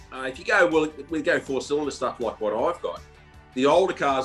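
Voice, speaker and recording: A man talks at a fairly quick pace with faint music in the background. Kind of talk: interview answer. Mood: relaxed, enthusiastic. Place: home room. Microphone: video call.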